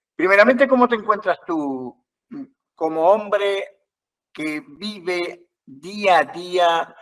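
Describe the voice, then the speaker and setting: A man speaks with lively intonation. His voice is high in pitch. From Uruguay. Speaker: journalist and moderator. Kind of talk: panel interview moderation.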